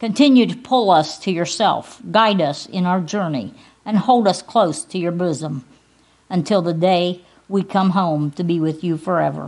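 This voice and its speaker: At a moderate pace, a woman talks in an unremarkable speaking voice, fairly low in pitch, with ordinary pitch variation. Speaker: pastor. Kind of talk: invocation prayer in a church service. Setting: church service. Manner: solemn, earnest, reverent, fervent.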